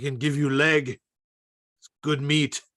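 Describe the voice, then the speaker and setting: Putting on a character voice, a man talks at a fairly slow pace in a fairly high pitch with monotone, flat intonation. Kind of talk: comic overacting. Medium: stage play. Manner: broken caveman grammar, short blunt phrases.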